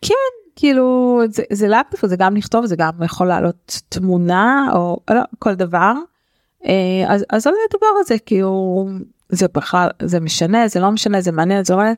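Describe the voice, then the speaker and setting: In a dry, close sound with no echo, a woman with an unremarkable speaking voice talks at a medium pitch and a moderate pace, with ordinary pitch variation and very even loudness. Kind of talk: casual chat.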